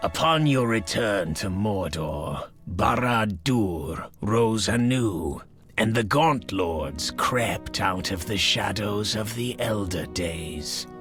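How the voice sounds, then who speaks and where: A man's put-on character voice, fairly low in pitch with very wide pitch swings, at a very slow pace over clear background music. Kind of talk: dark fantasy lore narration. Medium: solo performance. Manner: grave, contemptuous, formal.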